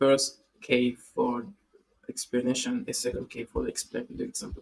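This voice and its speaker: Speaking at a fairly slow pace, a man has a non-native accent. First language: not English. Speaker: tech tutorial youtuber. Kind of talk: coding tutorial. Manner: halting, many fillers and repeats.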